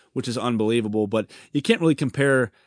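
Speaking at a very fast pace, a man with an American accent and a medium pitch sounds dry and close with no echo against a quiet background. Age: 30s. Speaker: sports podcast host. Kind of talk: casual solo podcast monologue. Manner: animated.

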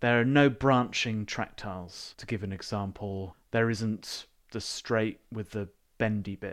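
With a normal speaking voice, a man talks at a fairly slow pace and a fairly low pitch, his intonation fairly even but his loudness swinging a lot. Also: very clean recording, silent background. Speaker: board game podcast co-host. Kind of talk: casual banter podcast chat. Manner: joking, playful.

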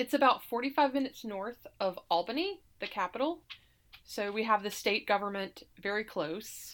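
In an unremarkable speaking voice, a woman with an American accent talks at a moderate pace with lively intonation and fairly high pitch, on a very clean recording with a silent background. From US South, Alabama (Montgomery). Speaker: political candidate and lawyer. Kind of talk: interview.

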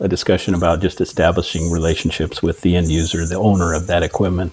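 A man with an American accent speaks at a very fast pace with hardly any pauses. His pitch is very deep and low. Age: 60s. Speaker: sales manager. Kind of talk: interview.

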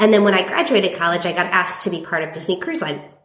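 In a room with audible echo, a woman talks very fast at medium pitch with an American accent. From California. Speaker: timeshare resale company representative. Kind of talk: casual interview chat.

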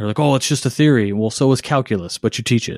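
Talking at a very fast pace with ordinary pitch variation, a man is heard in a very clean recording, with a silent background and a dry, close sound with no echo. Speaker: podcast host and blog editor. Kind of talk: casual chat. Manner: hesitant with many fillers.

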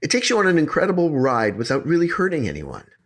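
A man is speaking. His pitch swings very widely. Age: 50s. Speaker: podcast host, storyteller. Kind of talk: casual chat with storytelling. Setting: remote recording over internet.

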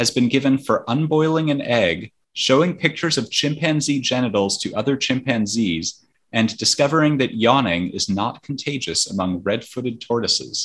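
The man has a plain, everyday voice at a medium pitch, speaking at a moderate pace with lively intonation. The recording is very clean, with a silent background. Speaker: quiz host. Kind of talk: casual quiz show.

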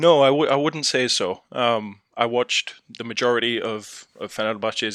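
A man with an English accent and ordinary pitch variation, in a dry, close sound with no echo. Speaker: football fan pundit. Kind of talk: casual chat. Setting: remote call.

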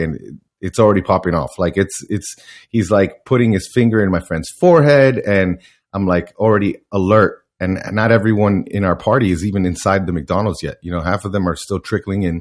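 Heard on a very clean recording against a silent background, a man with an American accent has an ordinary speaking voice, fairly low in pitch, with ordinary pitch variation and a moderate pace. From US, Miami, Florida. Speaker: strength and conditioning coach, powerlifter. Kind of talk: interview.

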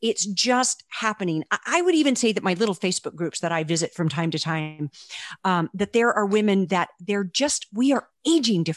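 A normal speaking voice at a fairly quick pace, lively in intonation, with a dry, close sound and no echo. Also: woman, medium pitch for a woman. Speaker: author. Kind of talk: casual interview.

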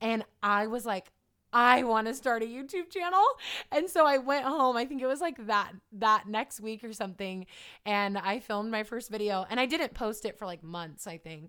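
A woman with an American accent speaks at a moderate pace in a fairly high pitch, with a bright, sharp tone and lively intonation. Her loudness swings widely on a very clean recording with a silent background. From California. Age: 20s. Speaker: fitness trainer and YouTuber. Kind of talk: interview.

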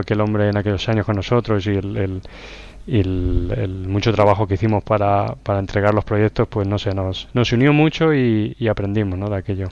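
A man's plain, everyday voice, fairly low in pitch, at a moderate pace. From Spain, La Roda, Albacete (Castilla-La Mancha). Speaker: software consultant. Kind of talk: casual interview.

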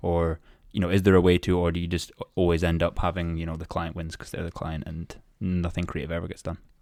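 A man with a Scottish accent speaks very fast in a very deep, low pitch, his intonation monotone and flat while his loudness swings widely. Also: very clean recording, silent background. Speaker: podcast host. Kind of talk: casual interview.

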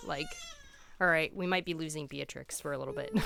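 A woman speaks over noticeable background noise. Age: 30s. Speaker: yoga practitioner and podcast co-host. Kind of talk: casual chat.

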